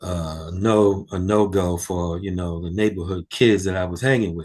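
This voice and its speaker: A man with a very deep, low pitch and fairly even intonation, against a quiet background. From New York City, Harlem. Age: 60s. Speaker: music roadie. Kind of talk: interview. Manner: halting.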